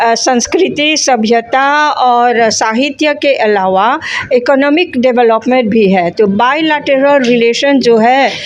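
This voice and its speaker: A woman speaks at a high pitch with ordinary pitch variation and hardly any pauses. Her loudness stays very even over noticeable background noise. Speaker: Bhojpuri scholar. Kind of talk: interview. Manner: halting.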